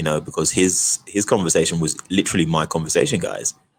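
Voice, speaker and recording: A man with a British accent speaks in a very deep, low pitch. His pace is fairly quick. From Britain, Nigerian heritage. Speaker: actor. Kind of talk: interview. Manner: animated.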